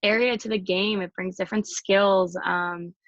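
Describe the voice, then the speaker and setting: Against a quiet background, a woman with an American accent talks at a medium pitch and moderate pace, her intonation fairly even and the sound dry and close with no echo. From Chicago, US Midwest. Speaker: college hockey player. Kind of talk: interview. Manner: loud.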